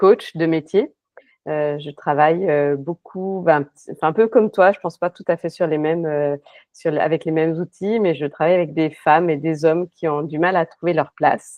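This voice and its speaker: Big swings in loudness at a moderate pace, with fairly even intonation. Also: woman. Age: 50s. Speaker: life coach. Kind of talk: interview. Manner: halting, many fillers.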